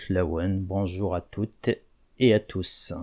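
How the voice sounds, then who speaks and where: A man's dark, mellow tone in a dry, close sound with no echo, on a very clean recording with a silent background. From Kabylie, Algeria. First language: Kabyle (speaking French). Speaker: language teacher, YouTuber. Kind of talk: video monologue to viewers.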